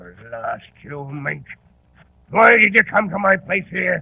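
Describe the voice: Slowly and in a put-on character voice, a man speaks at a high pitch with big pitch swings. There is vocal fry and a slightly husky edge.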